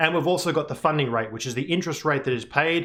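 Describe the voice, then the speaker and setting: With an Australian accent, a man speaks at a fairly quick pace, his pitch varying in an ordinary way. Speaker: crypto market analyst. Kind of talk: presentation. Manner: casual.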